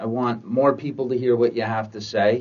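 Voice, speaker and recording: This man has an ordinary speaking voice, speaking at a medium pitch and moderate pace with ordinary pitch variation. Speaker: interviewer. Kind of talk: interview questions.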